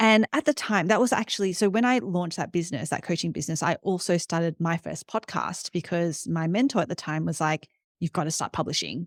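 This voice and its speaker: A woman with an Australian accent speaks at a fairly quick pace and fairly low pitch with lively intonation and hardly any pauses, on a very clean, dry, close recording with no echo and a silent background. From Australia, Sydney. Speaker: startup CEO and entrepreneur. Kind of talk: interview. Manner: fast, with many fillers.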